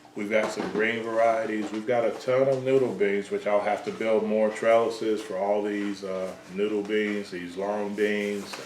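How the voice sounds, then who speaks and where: A man with a slight Southern US accent speaks at a fairly low pitch and a moderate pace, in a monotone, flat intonation with hardly any pauses. Noticeable background noise and audible room echo surround him. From US South, Georgia. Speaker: home gardener, channel host. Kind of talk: casual chat. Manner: hesitant, lots of fillers.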